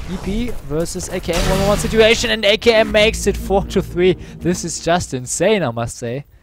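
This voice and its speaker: Spoken in a German accent with hardly any pauses, the voice plays over music in the background. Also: man, fairly quick pace. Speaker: esports commentator. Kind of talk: live commentary. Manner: animated.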